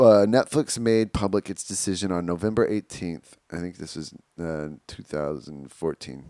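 A man's very deep, low voice with a dark, mellow tone and lively intonation, big swings in loudness, recorded very cleanly against a silent background, dry and close with no echo. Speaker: podcast co-host. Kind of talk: casual banter comedy chat. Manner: joking, sarcastic.

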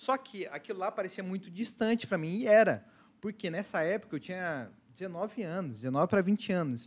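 High-pitched male voice with lively intonation at a moderate pace, on a very clean recording with a silent background. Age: 20s. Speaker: entrepreneur. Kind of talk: casual chat.

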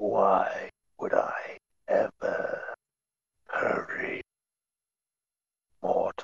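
In a put-on character voice, a man speaks at an extremely high pitch and a very slow pace. Long pauses come often. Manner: slow, unhurried, deliberate word choice.

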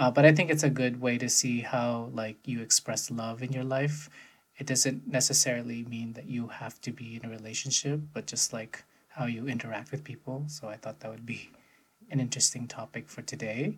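Speaking at a fairly slow pace, a man uses an unremarkable speaking voice with big swings in loudness. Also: medium pitch for a man, fairly even intonation. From United States. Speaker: podcast co-host. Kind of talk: casual chat.

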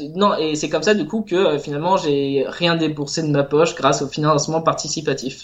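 A man speaks in a plain, everyday voice at a fairly high pitch. His intonation is fairly even, his pace moderate, with hardly any pauses. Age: 20s. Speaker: illustrator and self-published game author. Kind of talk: casual interview.

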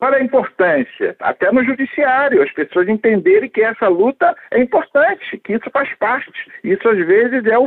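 A man speaks at an extremely high pitch. His pitch swings very widely. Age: 70s. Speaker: former federal deputy. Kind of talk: interview answers.

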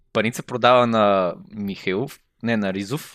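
A very slow pace with ordinary pitch variation over a quiet background. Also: man. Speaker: podcast co-host, comedian. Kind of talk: casual comedic chat.

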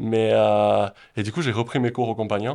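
The recording is very clean with a silent background, carrying a man's medium-pitched voice. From French Basque Country (Pyrénées-Atlantiques, southwest France). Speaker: real estate investor and entrepreneur. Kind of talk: interview.

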